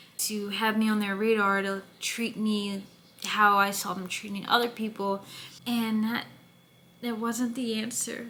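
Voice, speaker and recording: A woman talks at a fairly high pitch and a fairly slow pace. Her intonation is monotone and flat, and room echo is audible. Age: 20s. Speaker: podcast host and actress. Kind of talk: casual monologue. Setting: away from home while filming.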